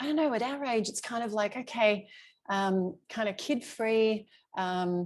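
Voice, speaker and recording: With an Australian accent, a woman speaks at a medium pitch with lively intonation. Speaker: travel coach. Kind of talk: live webinar presentation. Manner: fast; loud.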